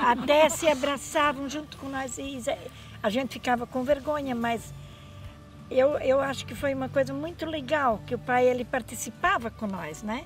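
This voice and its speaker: At a moderate pace, a high-pitched woman speaks with ordinary pitch variation and big swings in loudness. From Santa Catarina, Brazil (German-descended community). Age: 70s. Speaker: interviewee, elderly sister. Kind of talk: interview testimony.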